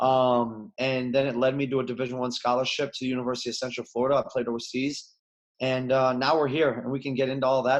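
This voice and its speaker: A man with a Chicago accent talks very fast at a medium pitch. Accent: Chicago American. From US Midwest, Chicago. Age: 30s. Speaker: former basketball player, coach. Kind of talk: podcast interview.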